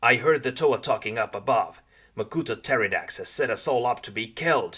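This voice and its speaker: A man's put-on character voice, fairly high in pitch, in a very clean recording with a silent background. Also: fairly quick pace. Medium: read story.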